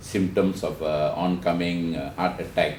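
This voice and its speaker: Audible room echo surrounds a man speaking with a very deep, low pitch and fairly even intonation. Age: 60s. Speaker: cancer survivor and counselor. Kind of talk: personal testimony in a webinar. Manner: halting, frequent filler words.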